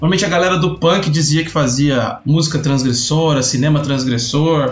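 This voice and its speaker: A man's voice over music in the background. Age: 30s. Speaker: podcast host. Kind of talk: casual chat.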